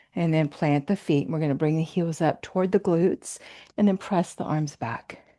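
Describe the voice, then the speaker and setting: A normal speaking voice from a woman, fairly low in pitch, with ordinary pitch variation and a moderate pace against a quiet background. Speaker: fitness and yoga instructor. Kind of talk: guided workout class instruction. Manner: encouraging, casual.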